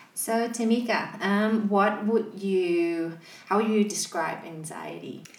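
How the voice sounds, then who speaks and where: In a room with audible echo, a woman speaks very slowly at a medium pitch. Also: fairly even intonation. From Malaysia. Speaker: podcast co-host. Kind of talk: casual chat.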